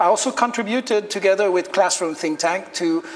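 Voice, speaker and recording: A man in a Quebec accent, high-pitched, at a fairly quick pace, with noticeable background noise. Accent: French Canadian accent in English. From Quebec, Canada. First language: French. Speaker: teacher and lecturer. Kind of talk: lecture.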